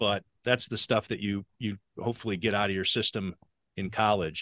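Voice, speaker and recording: A man's bright, sharp tone at a moderate pace, in a dry, close sound with no echo over a quiet background. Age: 50s. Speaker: sports journalist and podcast host. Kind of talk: casual chat. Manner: stammering, filler-heavy.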